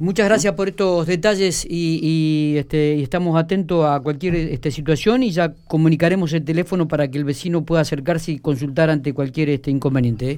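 A man with a Rioplatense accent talks at a fairly quick pace with hardly any pauses, in a fairly high pitch with ordinary pitch variation. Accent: Argentine Spanish (rioplatense). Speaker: radio host. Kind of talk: radio interview. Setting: radio studio.

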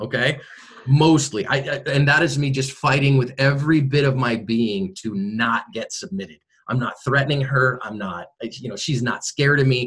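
A normal speaking voice from a man with an American accent, medium in pitch, at a moderate pace with ordinary pitch variation. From US West Coast, San Francisco Bay Area. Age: 40s. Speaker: self-defense instructor and former pastor. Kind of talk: interview.

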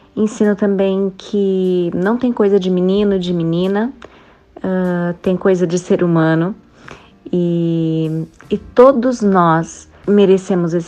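A woman with a medium pitch talks at a very slow pace, keeping her intonation fairly even. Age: 30s. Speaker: mother. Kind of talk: testimony.

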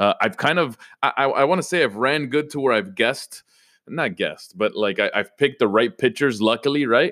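On a very clean recording with a silent background, a man sounds energetic and animated, his tone bright and sharp and his intonation lively. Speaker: fantasy sports podcast host. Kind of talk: casual solo podcast talk. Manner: energetic, animated; frequent repetitions and fillers.

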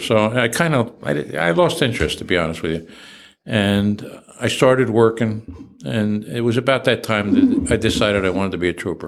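Here a man speaks in a New Jersey accent at a moderate pace. His pitch is fairly low, with ordinary variation. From New Jersey, Trenton. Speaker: retired state police chief. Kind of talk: interview.

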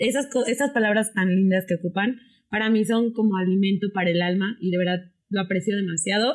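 A woman talks at a fairly quick pace in a medium pitch, with ordinary pitch variation and very even loudness. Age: 20s. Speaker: influencer and political science graduate. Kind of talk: casual chat.

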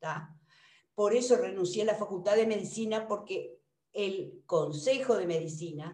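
A woman of medium pitch speaks very slowly with lively intonation, and audible room echo surrounds her voice. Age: 60s. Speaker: retired general practitioner. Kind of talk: seminar discussion.

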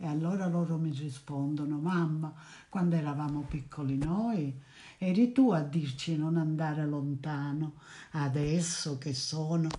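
The voice is somewhat breathy and moves at a fairly slow pace. Audible room echo surrounds it. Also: woman, very deep, low pitch for a woman, ordinary pitch variation. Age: 80s+. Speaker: grandmother. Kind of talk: interview. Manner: halting.

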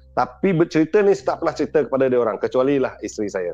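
A man's fairly high voice, lively in intonation, racing at a very fast pace over music in the background. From Sarawak, Malaysia. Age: 50s. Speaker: storyteller sharing own ghost experiences. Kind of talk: storytelling in casual chat. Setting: remote call into live stream.

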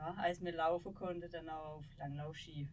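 At a moderate pace, a woman speaks in an ordinary speaking voice with fairly even intonation. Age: 30s. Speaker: former ski jumper. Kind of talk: interview conversation. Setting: small podcast studio.

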